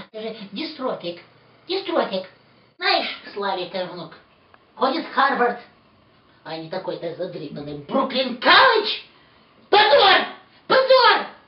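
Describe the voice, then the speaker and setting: In a put-on character voice, a man speaks at an extremely high pitch with very wide swings. He goes at a fairly slow pace with long, frequent pauses, and there is a slight echo. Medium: stage. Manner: nagging, melodramatic.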